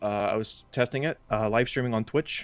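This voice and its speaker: A man speaks at a fairly low pitch. Music plays in the background. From Iceland. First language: Icelandic. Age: 20s. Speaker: game modder and streamer. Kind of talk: casual interview chat. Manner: halting, many fillers.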